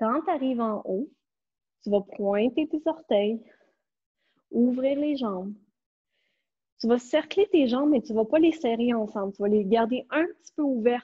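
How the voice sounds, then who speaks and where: A woman's high-pitched voice in a Quebec accent, fairly slow, with long, frequent pauses. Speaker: pilates instructor. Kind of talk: online fitness class instruction. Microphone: earbuds.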